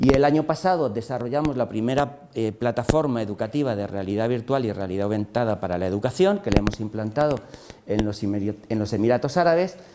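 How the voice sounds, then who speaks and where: Through noticeable background noise, a man talks at a very fast pace with a medium pitch and lively intonation. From Spain. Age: 60s. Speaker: engineer and entrepreneur. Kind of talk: lecture. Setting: classroom masterclass for teachers. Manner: halting, many fillers and repetitions.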